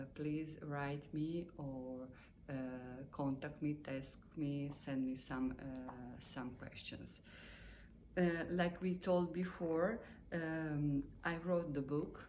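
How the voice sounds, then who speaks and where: A woman with a non-native accent speaks in a very deep, low, dark and mellow voice with fairly even intonation. Her pace is very slow with long, frequent pauses, and the room echo is audible. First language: Italian or Croatian. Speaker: meditation teacher. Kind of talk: spoken lesson. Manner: halting, many fillers; simple, slow wording.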